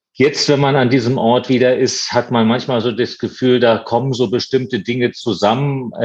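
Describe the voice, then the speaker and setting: A man with a plain, everyday voice, medium pitch, moderate pace, hardly any pauses and very even loudness. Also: fairly even intonation. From eastern Germany, Potsdam. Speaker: museum director and art historian. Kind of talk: interview.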